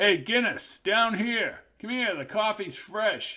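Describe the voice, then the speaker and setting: A man's high-pitched put-on character voice, fairly slow in pace, with lively intonation. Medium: read story. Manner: brash, crude.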